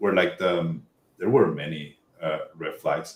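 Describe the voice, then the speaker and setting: The speaker is a man with a Spanish accent. He talks at a moderate speed. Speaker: tech job-hunting expert. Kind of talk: podcast interview. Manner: halting, many fillers and restarts.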